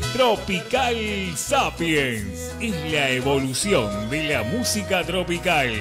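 Over music in the background, a man speaks at a very slow pace with hardly any pauses, using a medium pitch with very wide pitch swings. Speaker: radio announcer. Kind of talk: radio station promo.

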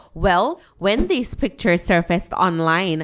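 At a moderate pace, a woman speaks with a medium pitch and lively intonation. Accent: Jamaican. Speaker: dancehall news vlogger. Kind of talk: entertainment news commentary.

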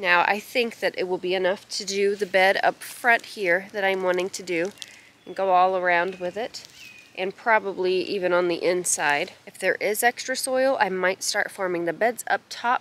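The voice moves at a moderate pace with fairly even intonation, and the sound is dry with no echo. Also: woman. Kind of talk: casual vlog chat. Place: garden. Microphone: phone near.

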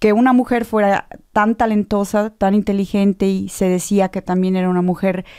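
Against a quiet background, a woman with a dark, mellow tone speaks at medium pitch and a moderate pace, with fairly even intonation. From Mexico. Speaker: theatre director and actress; actress. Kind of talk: radio interview. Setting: radio studio. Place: studio. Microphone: studio mic.

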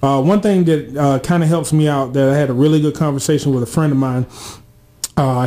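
A man's fairly high voice with an American accent, ordinary pitch variation and a moderate pace. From Georgia, US South (Atlanta area); Georgia. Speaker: college radio co-host. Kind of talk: casual radio talk show chat.

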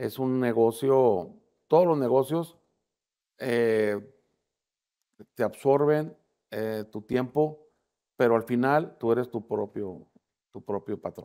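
A man speaks with a dark, mellow tone at a very slow pace, leaving long, frequent pauses. The background is quiet. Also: medium pitch for a man, ordinary pitch variation. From Mexico, Tamaulipas. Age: 60s. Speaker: political candidate; candidate. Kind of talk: interview. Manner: casual, conversational with fillers. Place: studio. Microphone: lapel.

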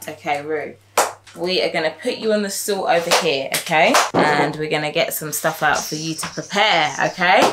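Through loud background noise, a woman talks at a moderate pace with ordinary pitch variation. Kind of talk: casual family vlog instruction. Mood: warm, encouraging. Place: kitchen. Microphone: camera far.

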